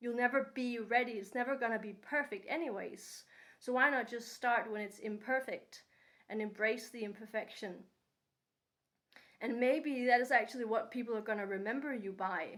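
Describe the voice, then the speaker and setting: A woman with a non-native accent talks at a moderate pace in a fairly high voice. Her intonation stays fairly even. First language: not English. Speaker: vlogger. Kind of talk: unscripted personal monologue. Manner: unscripted with pauses; hesitant with fillers.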